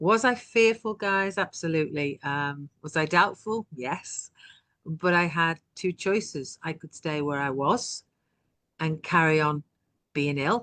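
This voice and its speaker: This woman talks at a fairly slow pace in a fairly low pitch, her tone bright and sharp and her intonation lively, with a dry, close sound and no echo. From UK. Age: 60s. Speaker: online business owner. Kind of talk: interview testimony.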